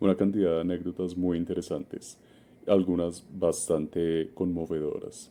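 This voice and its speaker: A man with a Bogotá accent has a very deep, low pitch and a dark, mellow tone. He talks at a fairly slow pace with monotone, flat intonation. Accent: Bogotá Colombian. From Colombia, Bogotá. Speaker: community contributor. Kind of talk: recorded recommendation message.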